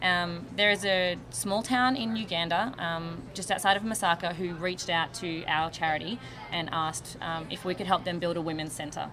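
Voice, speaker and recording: A woman in an Australian accent talks at a moderate pace with hardly any pauses, her pitch fairly low with ordinary variation. Background noise is noticeable. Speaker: charity volunteer, hairdresser. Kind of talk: TV interview. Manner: hesitant, many fillers.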